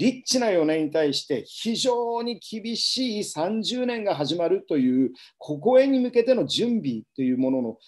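Against a quiet background, a man with a high pitch talks at a moderate pace, his pitch swinging very widely. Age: 50s. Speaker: business coach and seminar speaker; business coach, speaker. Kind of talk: live webinar lecture. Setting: home livestream. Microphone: webcam.

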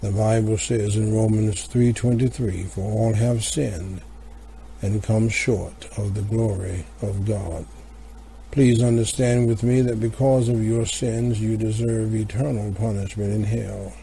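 Over noticeable background noise, a man with a fairly low pitch speaks at a fairly slow pace with fairly even intonation. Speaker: broadcast announcer. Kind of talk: scripted announcement and gospel invitation. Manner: formal.

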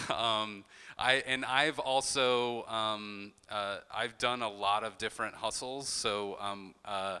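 With an American accent, a man speaks very slowly at a fairly low pitch, his tone bright and sharp and his intonation fairly even. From Charleston, South Carolina; South Carolina. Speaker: artist and arts director; panelist. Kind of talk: talk presentation. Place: classroom. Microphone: handheld.

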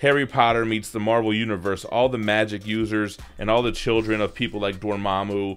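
A normal speaking voice, fairly quick, its intonation fairly even. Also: man. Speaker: comic collector channel host. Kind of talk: product review commentary. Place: home room.

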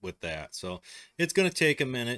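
A man talks in a Midwestern US accent. Behind him the background is quiet. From US Midwest. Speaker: tech tutorial host. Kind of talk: tutorial. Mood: relaxed, casual.

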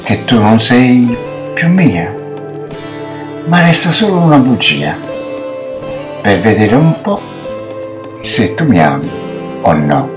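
Against noticeable background noise, a man speaks very slowly with long, frequent pauses and very wide pitch swings. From Naples, Italy. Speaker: amateur actor. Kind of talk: poetry reading. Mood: tender, emotional. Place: home room. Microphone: webcam.

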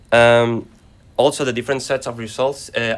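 With a Spanish accent, a man speaks in a flat, monotone way. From Spain. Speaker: acoustics researcher; conference presenter. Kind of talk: conference presentation. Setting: conference session. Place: classroom.

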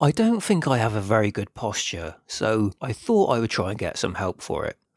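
Recorded very cleanly against a silent background, a man talks at a moderate pace in a dry, close sound with no echo. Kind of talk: casual talk to camera.

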